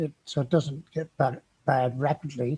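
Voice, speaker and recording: Speaking in a South Wales accent at a very slow pace, a man uses a fairly high, somewhat breathy voice with ordinary pitch variation. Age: 70s. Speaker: COPD patient vlogger. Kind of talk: personal advice monologue. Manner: halting.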